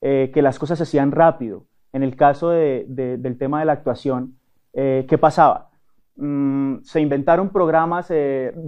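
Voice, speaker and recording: With ordinary pitch variation, a man talks fairly slowly in a fairly high voice. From Colombia, Cali. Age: 30s. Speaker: actor and network marketer. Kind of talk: interview. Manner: hesitant, many fillers.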